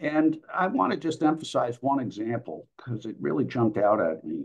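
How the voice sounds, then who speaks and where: A man with an American accent and vocal fry, over a quiet background. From United States. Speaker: historian and author. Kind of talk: lecture with reading aloud; lecture. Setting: video call. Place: home room. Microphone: video call.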